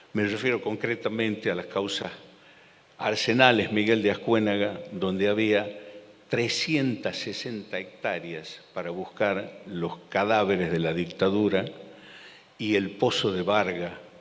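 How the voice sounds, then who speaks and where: A man with a fairly low voice talks at a fairly slow pace with ordinary pitch variation. Audible room echo and noticeable background noise fill the recording. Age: 60s. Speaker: lawyer and former federal judge. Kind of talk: public talk. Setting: theater stage with audience. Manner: halting, repeats words.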